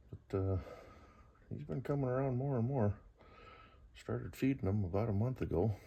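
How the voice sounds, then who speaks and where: Quiet and somewhat breathy, a man speaks in a relaxed tone with a dark, mellow quality, a fairly low pitch, ordinary pitch variation, a moderate pace and long, frequent pauses. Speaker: vlogger. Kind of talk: casual talk to camera. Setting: garage at night. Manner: relaxed, hesitant.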